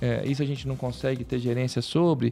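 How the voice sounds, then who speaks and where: A man's fairly quick, fairly even speech at a medium pitch, dark and mellow in tone. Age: 40s. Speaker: orthopedic spine surgeon and professor. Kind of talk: casual interview. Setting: studio. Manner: halting.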